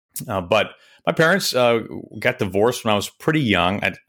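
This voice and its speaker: This man has a plain, everyday voice with an American accent. He talks at a fairly quick pace with lively intonation. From Kansas City. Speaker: baseball play-by-play announcer. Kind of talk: casual interview chat. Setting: recorded remotely, video call.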